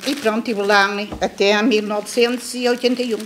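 A woman's voice with fairly even intonation over light background noise. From Portugal. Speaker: former emigrant. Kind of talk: testimony. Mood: reflective, nostalgic. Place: classroom. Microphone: studio mic.

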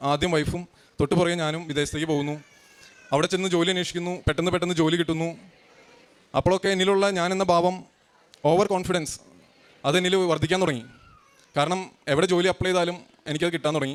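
A man talks in a high pitch with fairly even intonation. Noticeable background noise runs behind him. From Kerala, India (Kalady, Ernakulam area). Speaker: churchgoer giving testimony. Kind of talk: testimony.

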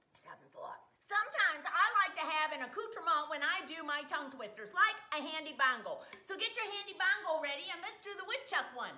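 A woman with an American accent speaks in a raised, projected voice at an extremely high pitch, with very wide pitch swings. Her pace is fairly quick, with hardly any pauses and big swings in loudness. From Wisconsin. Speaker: comedy vlogger. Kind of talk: casual talk to camera. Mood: playful, comedic. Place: kitchen. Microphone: webcam.

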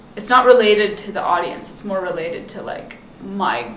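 A woman with an American accent talks at a moderate pace in a medium pitch with ordinary pitch variation, amid noticeable background noise and audible room echo. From Seattle, US Pacific Northwest. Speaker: film director. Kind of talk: casual chat.

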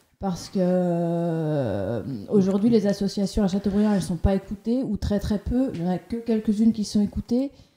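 With hardly any pauses, a woman speaks at a moderate pace and medium pitch in a dark, mellow tone with ordinary pitch variation. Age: 30s. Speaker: farm worker, municipal candidate. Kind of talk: radio interview.

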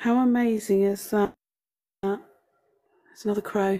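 Her voice has a dark, mellow tone, and the woman talks at a fairly slow pace with ordinary pitch variation. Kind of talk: casual vlog chat. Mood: amused, chatty. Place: home room. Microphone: phone near.

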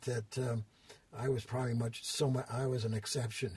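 With an American accent, a man at medium pitch talks at a moderate pace in a flat monotone, with noticeable background noise behind him. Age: 80s+. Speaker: fitness industry designer and consultant. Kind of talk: interview answer, storytelling. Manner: hesitant, many fillers.

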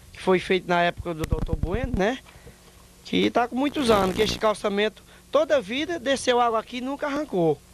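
Against noticeable background noise, a man with a high pitch talks at a fairly quick pace with lively intonation, the sound dry with no echo. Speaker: interviewee. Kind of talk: interview answer. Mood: complaining, appealing for repairs. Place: street. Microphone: handheld.

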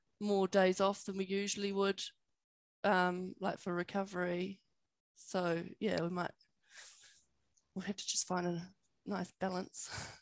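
A woman speaks in a monotone, flat intonation with long, frequent pauses, the sound dry with no echo and the background quiet. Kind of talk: interview answer. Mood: relaxed, friendly. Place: home room. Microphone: headset.

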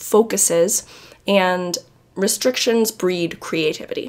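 A woman's pitch varies in an ordinary way while noticeable background noise sits behind her. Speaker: YouTube creator. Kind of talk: tutorial. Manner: casual, conversational.

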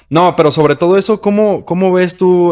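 The pace is moderate as a man talks. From Mexico. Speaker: podcast host. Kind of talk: casual interview. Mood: relaxed, friendly, smiling. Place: studio. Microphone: studio mic.

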